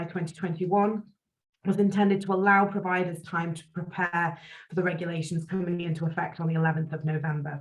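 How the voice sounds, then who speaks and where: A somewhat breathy voice with a British accent, fairly even intonation and a very fast pace. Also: woman. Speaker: employment law solicitor. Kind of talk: webinar presentation.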